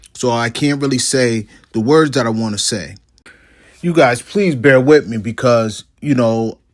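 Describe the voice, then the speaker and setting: The speaker talks at a fairly slow pace with ordinary pitch variation. It is a very clean recording with a silent background. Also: man, medium pitch for a man. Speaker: online video creator. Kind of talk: commentary monologue. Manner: slow, deliberate.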